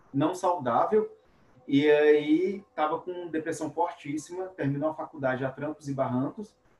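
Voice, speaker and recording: Over noticeable background noise, the pitch varies in an ordinary way. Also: man. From Minas Gerais, near Bahia border. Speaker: podcast host, engineer and robotics teacher. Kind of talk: casual interview chat.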